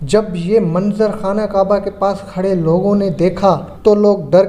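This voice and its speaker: Noticeable background noise runs beneath a man whose intonation is fairly even. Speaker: voice-over artist. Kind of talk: religious history documentary narration.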